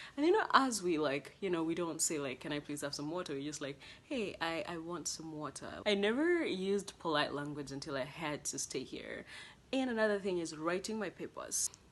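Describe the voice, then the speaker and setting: A woman with a Kenyan accent talks at a fairly quick pace. Her pitch is fairly low, and her intonation is lively. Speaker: international college student vlogger. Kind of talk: casual vlog monologue. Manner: conversational with fillers.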